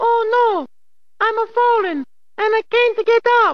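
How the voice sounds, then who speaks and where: Fairly slow delivery in an extremely high-pitched, put-on character voice. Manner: overdramatic, salesy.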